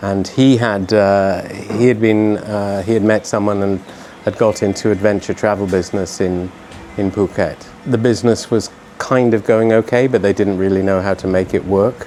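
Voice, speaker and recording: Over music in the background, a man with a British accent speaks in a fairly low, monotone, flat voice at a moderate pace. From UK. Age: 60s. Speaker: expat business owner. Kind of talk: interview. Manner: halting, repeats words.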